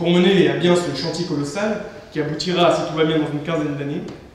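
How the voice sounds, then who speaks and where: Over noticeable background noise and audible room echo, a man speaks in a high pitch with fairly even intonation. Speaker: student debate moderator. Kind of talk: scripted introduction of guests.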